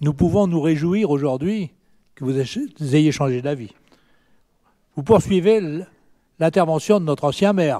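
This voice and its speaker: A man's dark, mellow tone with lively intonation, a fairly slow pace and long, frequent pauses over a quiet background. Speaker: opposition city councillor. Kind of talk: council debate speech. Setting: municipal council meeting. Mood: pointed, mildly ironic. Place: hall. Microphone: hard to hear, mic issue; podium.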